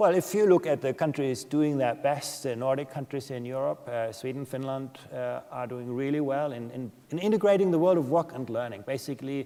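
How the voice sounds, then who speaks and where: With a German accent, the speaker moves at a fairly quick pace, with hardly any pauses and ordinary pitch variation. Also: man, medium pitch for a man. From Germany. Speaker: education policy expert. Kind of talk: conference Q&A.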